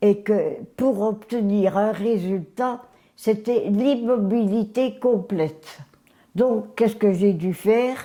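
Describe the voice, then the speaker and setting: A woman's fairly high voice, ordinary in its pitch variation, at a very slow pace. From Belgium, Mons. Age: 80s+. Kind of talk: interview answer.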